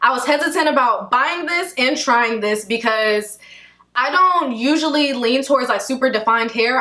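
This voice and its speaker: Against a quiet background, a woman projects a raised voice at a moderate pace with ordinary pitch variation. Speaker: hair care vlogger. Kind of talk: casual vlog chat.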